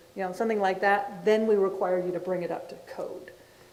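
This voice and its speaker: Noticeable background noise and audible room echo both surround a woman's voice. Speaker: city planning staff presenting code amendments. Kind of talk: public meeting presentation. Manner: loud.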